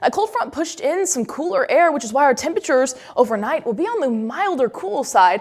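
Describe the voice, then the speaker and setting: Against noticeable background noise, a high-pitched woman speaks at a very fast pace with very wide pitch swings and hardly any pauses. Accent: American. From Indianapolis, Indiana. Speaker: meteorologist. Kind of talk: TV weather forecast.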